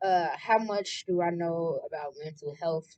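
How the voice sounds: At a slow pace, a woman speaks in a fairly low voice with a slightly mellow tone.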